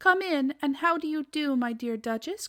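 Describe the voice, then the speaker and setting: A woman uses a put-on character voice pitched high. She speaks at a moderate pace. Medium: read story. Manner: prim, genteel.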